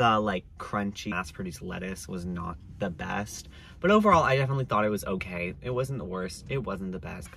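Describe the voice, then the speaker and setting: A man talks at a fairly quick pace in a fairly low pitch. The sound is dry with no echo, with light background noise. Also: lively intonation. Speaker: student reviewer. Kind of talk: casual vlog chat. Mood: cheerful, smiling. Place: car. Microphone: phone near.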